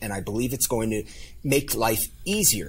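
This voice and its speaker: Vocal fry from a man whose pitch swings very widely. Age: 50s. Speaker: life coach and author. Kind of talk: interview.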